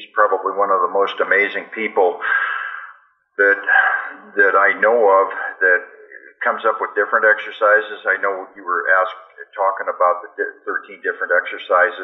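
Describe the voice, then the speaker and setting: Pausing long and often, a man speaks with big swings in loudness. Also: moderate pace. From Canada. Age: 60s. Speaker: fitness writer and strength athlete. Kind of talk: interview.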